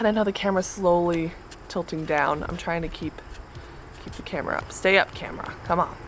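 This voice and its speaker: Against noticeable background noise, a woman with a fairly low pitch talks at a fairly quick pace, her loudness swinging widely. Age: 20s. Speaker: book vlogger. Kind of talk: casual vlog talk. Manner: halting, stuttering; bubbly.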